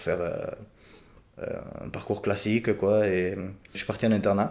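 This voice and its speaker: A man talks in a fairly low pitch. His intonation stays fairly even. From Béarn, France. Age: 20s. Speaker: farmer. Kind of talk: podcast interview answer.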